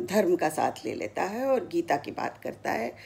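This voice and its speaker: A woman speaks at a fairly high pitch. Her voice has vocal fry. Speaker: retired radio broadcaster, former station director. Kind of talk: story narration. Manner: clear Hindi diction.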